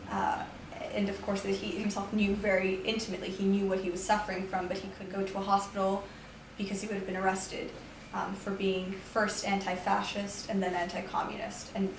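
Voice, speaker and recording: A woman talks with monotone, flat intonation. Audible room echo and noticeable background noise surround her voice. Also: medium pitch for a woman, fairly quick pace. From New York, US. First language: Romanian. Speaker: poet and teacher. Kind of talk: interview.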